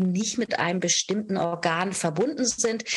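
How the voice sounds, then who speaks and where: Speaking at a moderate rate, a woman uses a plain, everyday voice with ordinary pitch variation. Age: 50s. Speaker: yoga teacher and podcast host. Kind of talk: solo podcast monologue, explanatory.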